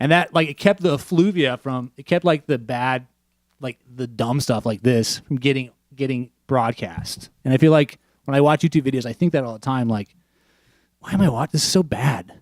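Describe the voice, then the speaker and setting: A man mumbles at a medium pitch and a moderate pace. His pitch varies in an ordinary way, and the sound is dry and close with no echo. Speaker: podcast host. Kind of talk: casual chat. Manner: mumbling.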